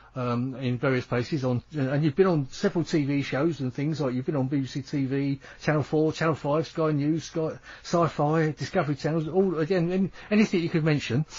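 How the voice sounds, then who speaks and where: A man with a British accent talks at a fairly quick pace. His pitch is fairly high, with ordinary variation. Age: 70s. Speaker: radio host. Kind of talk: radio interview.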